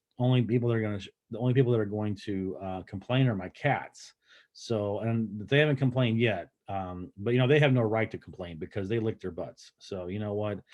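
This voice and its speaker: An ordinary speaking voice at a fairly quick pace, with hardly any pauses, ordinary pitch variation and big swings in loudness. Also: man, fairly low pitch for a man. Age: 50s. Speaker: health vlogger. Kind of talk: casual talk to camera.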